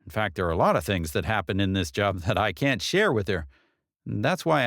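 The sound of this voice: an unforced reading voice with lively intonation over a quiet background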